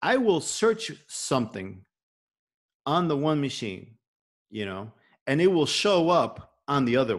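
A man with a Chicago accent and a fairly high pitch, very wide pitch swings, and long, frequent pauses against a quiet background. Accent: Chicago American English. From Chicago, Little Village (Mexican-American neighborhood). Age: 40s. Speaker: podcast host. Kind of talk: casual chat. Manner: halting.

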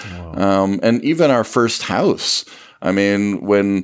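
In a very clean recording with a silent background, a man with a Canadian accent talks at a moderate pace in a fairly low voice, an ordinary speaking voice. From Ottawa area, Canada. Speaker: radio show co-host on finance. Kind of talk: storytelling interview.

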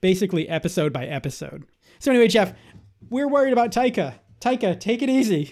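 Very fast and with very wide pitch swings, a man with a Boston accent speaks in a high voice, in a very clean recording with a silent background. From Boston, Massachusetts. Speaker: podcast co-host. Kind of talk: casual chat.

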